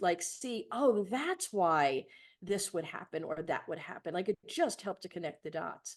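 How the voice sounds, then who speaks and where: This woman talks at a moderate pace in an American accent, her pitch swinging very widely. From New York City (Bronx). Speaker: leadership coach and trainer. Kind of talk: podcast interview.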